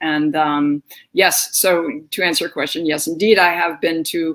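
A woman speaks at a moderate pace in a low pitch. Her tone is fairly bright.

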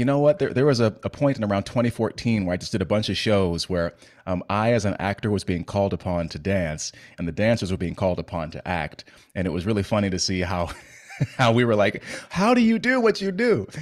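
The background is quiet as a man speaks at a fairly quick pace. His pitch is fairly low, with ordinary variation. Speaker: podcast host. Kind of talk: podcast intro chat. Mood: playful, joking. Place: home room. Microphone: studio mic.

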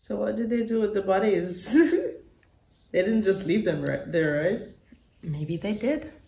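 Audible echo from the room surrounds speech delivered fairly slowly. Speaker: movie reactor. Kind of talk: casual reaction commentary. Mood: curious, amused. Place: home room.

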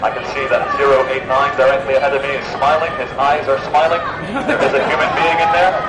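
A man at a fairly quick pace amid loud background noise. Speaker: protest speaker. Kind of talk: protest speech to police through megaphone. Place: street. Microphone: camera far.

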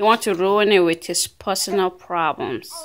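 A woman at medium pitch, ordinary pitch variation, moderate pace

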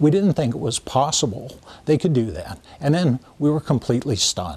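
This man's voice is fairly high in pitch and has vocal fry. He speaks with lively intonation. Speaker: property owner interviewed about pipeline. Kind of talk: interview answer. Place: open country.

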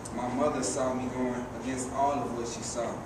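A man's voice at a moderate pace, with noticeable background noise and audible room echo. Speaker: poet performer. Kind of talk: spoken word poetry performance. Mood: serious, reflective. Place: stage. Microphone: camera far.

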